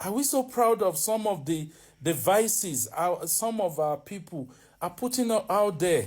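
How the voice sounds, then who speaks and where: On a very clean recording with a silent background, a man with a Nigerian accent speaks at a high pitch with very wide pitch swings. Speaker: vlogger. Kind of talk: opinion monologue. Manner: animated; halting.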